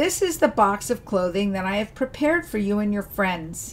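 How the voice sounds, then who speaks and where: Somewhat breathy and warm, gentle in tone, a woman speaks at a fairly high pitch with very wide pitch swings. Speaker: storyteller. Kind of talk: fairy-tale narration of a folk story. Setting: video channel, solo recording. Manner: warm, gentle storyteller's pacing.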